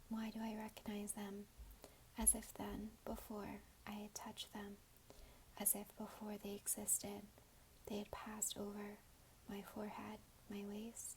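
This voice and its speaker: Long pauses break up the speech frequently. Between them, the tempo is moderate. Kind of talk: ASMR poetry reading. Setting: recorded with a basic microphone and some background noise. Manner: whispered, soft-spoken.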